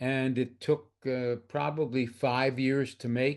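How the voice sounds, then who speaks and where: A man at medium pitch, monotone and flat, at a fairly slow pace over a quiet background. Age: 80s+. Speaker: photographer. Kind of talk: artist talk. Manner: halting.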